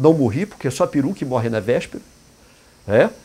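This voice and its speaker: A man's medium-pitched voice, moderate pace, lively intonation. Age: 60s. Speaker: indigenist and therapist. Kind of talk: talk in an interview format. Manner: halting, with repetitions.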